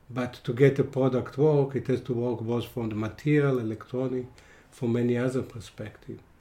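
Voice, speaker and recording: At a moderate pace, a man with a medium pitch talks in a monotone, flat intonation, his dark, mellow tone somewhat breathy. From Israel. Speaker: semiconductor engineer and expert witness. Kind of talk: interview. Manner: halting.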